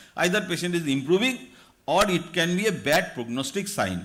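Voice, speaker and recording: Audible room echo surrounds a man speaking at a high pitch. His tone is bright and sharp, with ordinary pitch variation. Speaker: doctor lecturing at medical conference. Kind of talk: lecture. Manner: fast.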